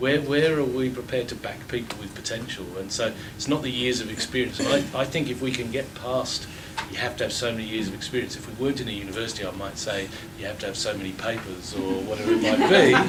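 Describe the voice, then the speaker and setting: A man at medium pitch speaks very fast with ordinary pitch variation. Noticeable background noise and audible room echo are present. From England. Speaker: water utility CEO. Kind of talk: panel discussion. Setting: lecture theatre with audience. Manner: halting.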